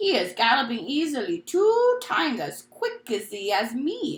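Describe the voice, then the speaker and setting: A female-sounding voice puts on a character voice, pitched high for a woman. The pitch swings very widely at a moderate pace. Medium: read story. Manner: soft, mangled grammar.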